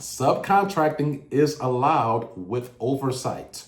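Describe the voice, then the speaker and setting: A man talks at a very slow pace in a fairly high, somewhat breathy voice. Audible room echo fills the space. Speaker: government contracting educator, former contracting officer. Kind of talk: educational monologue.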